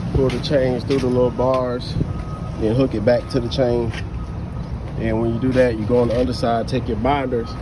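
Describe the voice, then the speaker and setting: Over noticeable background noise, a man speaks at a moderate pace, the sound dry with no echo. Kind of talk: casual vlog tutorial. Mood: relaxed, a bit weary. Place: street. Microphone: phone near.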